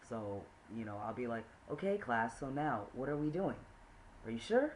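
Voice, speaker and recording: A man speaks with ordinary pitch variation. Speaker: vlogger and teacher. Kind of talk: casual video diary. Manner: halting, many fillers.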